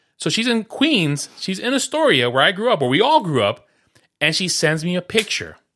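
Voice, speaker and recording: Over a quiet background, a man speaks fairly quickly in a bright, sharp tone with very wide pitch swings. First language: Spanish. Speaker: podcast host. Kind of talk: casual chat.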